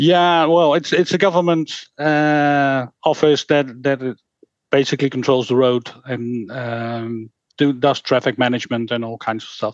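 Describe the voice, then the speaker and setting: A man speaks with a Dutch accent at a fairly slow pace. The sound is dry and close, with no echo. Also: medium pitch for a man, ordinary pitch variation. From Netherlands. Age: 50s. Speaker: game designer and rules author. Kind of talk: interview. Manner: halting.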